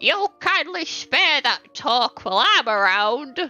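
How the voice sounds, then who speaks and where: A female-sounding put-on character voice, high-pitched with very wide pitch swings, over faint music in the background. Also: fairly slow pace. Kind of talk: formal, prim. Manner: stern, scolding.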